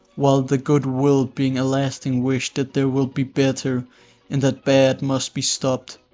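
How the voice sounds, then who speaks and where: Over music in the background, a man talks at medium pitch and a moderate pace with monotone, flat intonation. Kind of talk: philosophical explainer narration. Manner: dry.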